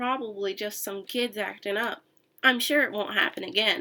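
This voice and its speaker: A woman uses a raspy, put-on character voice at a fairly high pitch, speaking at a moderate pace. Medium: read story. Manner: stern, menacing.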